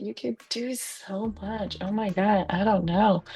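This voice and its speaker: A woman at medium pitch in a dry, close sound with no echo, with music in the background. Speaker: domain industry professional. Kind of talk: casual interview chat. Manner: casual, many fillers and hesitations.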